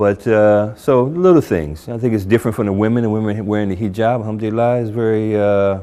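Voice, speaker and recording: This man has an American accent and a fairly low pitch. His tone is dark and mellow, with fairly even intonation. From New Jersey, US. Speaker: convert sharing his story. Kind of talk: testimony. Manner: casual, hesitant with fillers.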